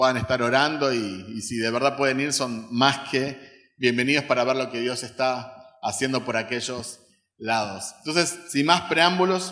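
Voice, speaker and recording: A man speaks at a medium pitch with ordinary pitch variation. His fairly slow delivery carries audible room echo. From Uruguay. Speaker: missionary, guest preacher. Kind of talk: sermon. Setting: church service with congregation.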